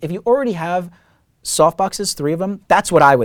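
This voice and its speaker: The speech is fairly quick with lively intonation, on a very clean recording with a silent background. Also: man. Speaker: filmmaker and YouTube tutorial host. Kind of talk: casual Q&A tutorial. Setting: studio. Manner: fast.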